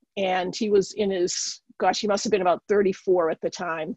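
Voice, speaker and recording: A woman speaks in a Boston accent at a medium pitch with ordinary pitch variation and a fairly quick pace. The sound is dry and close with no echo, over a quiet background. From Boston area. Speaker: occupational therapist and spiritual teacher. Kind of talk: interview testimony.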